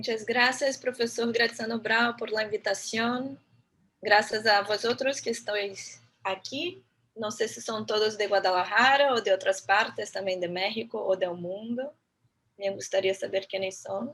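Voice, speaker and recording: Her pitch is fairly high and varies in an ordinary way. The woman keeps to a fairly slow pace. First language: Portuguese (speaking Spanish). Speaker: architect and urban planner, guest lecturer. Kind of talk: lecture.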